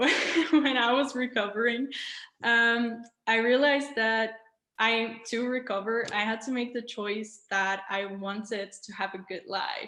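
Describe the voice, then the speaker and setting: This woman's voice sits fairly high in pitch. She talks at a fairly slow pace with fairly even intonation. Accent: non-native. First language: not English. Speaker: raw vegan influencer. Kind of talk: interview. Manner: hesitant, many fillers.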